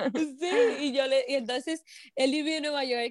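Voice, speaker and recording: A woman in a Dominican Cibao accent, with an animated tone, ordinary pitch variation, and a moderate pace. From Dominican Republic, Moca. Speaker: entrepreneur and broadcaster. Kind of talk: interview storytelling.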